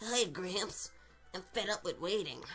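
Using a put-on character voice, a female-sounding speaker talks raspily at a medium pitch. Her pace is fairly slow, with music in the background. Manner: girly voice.

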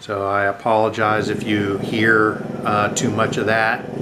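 A man talks at a very slow pace while noticeable background noise plays behind him. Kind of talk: casual unboxing commentary. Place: home room. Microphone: camera far.

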